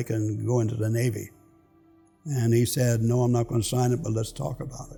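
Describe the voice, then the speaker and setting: Over music in the background, a man with an American accent speaks at a fairly quick pace and medium pitch with fairly even intonation. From Philadelphia, US. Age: 90s. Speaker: war veteran. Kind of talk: testimony.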